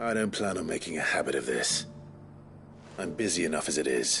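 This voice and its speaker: Over clear music in the background, a man speaks fairly quickly in a put-on character voice. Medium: game stream. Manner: calm, dry.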